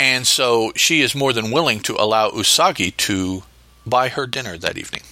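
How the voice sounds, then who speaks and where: A man speaks at a moderate pace, his medium pitch rising and falling in an ordinary way. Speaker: podcast host. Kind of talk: solo podcast episode review and story notes. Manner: halting, hesitant with fillers.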